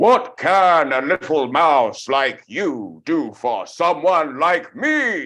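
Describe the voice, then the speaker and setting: Over a quiet background, a man puts on a loud character voice at a fairly high pitch, speaking very slowly with hardly any pauses. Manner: slow and loud.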